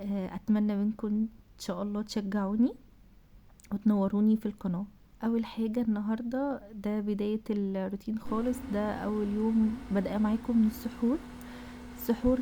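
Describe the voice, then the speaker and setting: Speaking in an Egyptian accent, a woman uses a fairly high voice with flat, monotone intonation. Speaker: cooking vlogger. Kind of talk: vlog voiceover.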